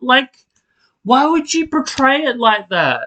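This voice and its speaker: Raised and projected, a man's voice sits at an extremely high pitch with a bright, sharp tone. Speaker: soap opera podcaster. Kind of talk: casual rant. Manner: animated.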